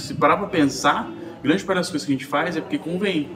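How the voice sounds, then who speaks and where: With a Brazilian accent, a man speaks in a fairly high pitch against noticeable background noise. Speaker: podcast host. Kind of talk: casual chat.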